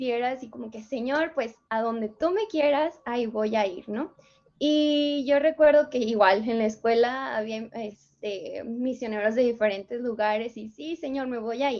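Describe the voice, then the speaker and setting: Against a quiet background, a woman with a high pitch speaks at a fairly slow pace, her loudness swinging widely while her pitch variation stays ordinary. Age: 20s. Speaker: missionary. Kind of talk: casual chat.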